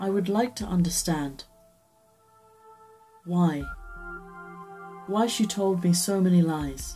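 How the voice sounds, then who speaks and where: Faint music plays in the background as the speaker goes at a fairly slow pace with ordinary pitch variation. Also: woman. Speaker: story reader and reviewer. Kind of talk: dramatic reading of a horror short story. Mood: dark, dramatic first-person narration. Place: home room. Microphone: webcam.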